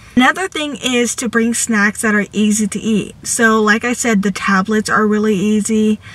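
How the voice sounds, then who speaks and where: A woman speaks at a moderate pace with fairly even intonation. The sound is dry with no echo. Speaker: vlogger. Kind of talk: casual vlog chat with tips. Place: car. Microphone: phone near.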